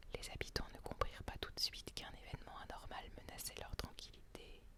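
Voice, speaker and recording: Someone whispers at a fairly slow pace. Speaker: storyteller. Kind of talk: read story. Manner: whispered.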